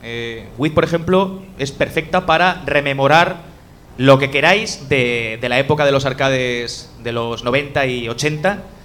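Noticeable background noise sits behind a man with a fairly high pitch. He talks at a very slow pace with ordinary pitch variation. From Spain, Elche. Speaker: podcaster. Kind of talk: casual chat. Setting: live event with audience.

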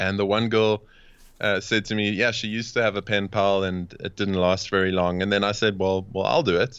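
A man speaks with a South African accent at a fairly quick pace. His voice sits fairly low and his intonation stays fairly even. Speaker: coach and podcast host. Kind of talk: casual interview chat. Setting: video or phone call from Cape Town.

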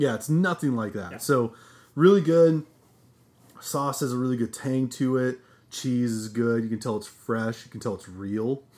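In a very clean recording with a silent background, a man with a plain, everyday voice talks at medium pitch and a moderate pace, with ordinary pitch variation. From Nebraska. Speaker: podcast co-host. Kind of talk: casual chat.

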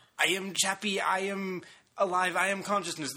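In a put-on character voice, a man speaks with a high pitch at a moderate pace.

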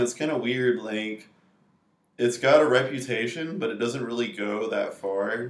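Audible room echo carries a man's medium-pitched voice at a moderate pace. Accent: American. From North Carolina (Raleigh). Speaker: video game programmer. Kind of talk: casual chat.

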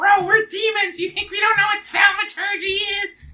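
In a put-on character voice, the speaker talks at extremely high pitch and a moderate pace with monotone, flat intonation. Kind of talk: casual, modern slang. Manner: incredulous, sarcastic.

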